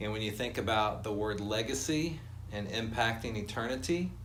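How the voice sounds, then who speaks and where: This is a normal speaking voice at a moderate pace. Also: man. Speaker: church congregation presenter. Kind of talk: interviewer questions.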